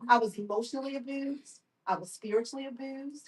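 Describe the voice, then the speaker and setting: A woman with a plain, everyday voice and an American accent, fairly even intonation and a fairly quick pace. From Baltimore, Maryland. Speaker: survivor speaker and therapist. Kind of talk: testimony. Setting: live event with audience.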